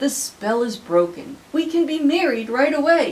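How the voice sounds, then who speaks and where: The delivery is a put-on character voice. Its pace is moderate. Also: woman, high pitch for a woman. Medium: read story.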